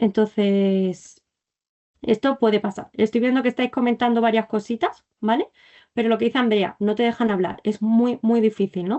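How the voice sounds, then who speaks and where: A woman with a fairly high pitch speaks at very even loudness and with fairly even intonation. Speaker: clinical psychology resident teaching a masterclass. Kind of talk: online lecture. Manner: fast.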